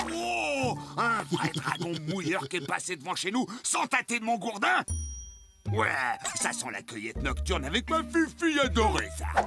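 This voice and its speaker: A man uses a cartoonish character voice at a fairly high pitch, speaking at a moderate pace. Clear music plays in the background. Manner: loud, gruff.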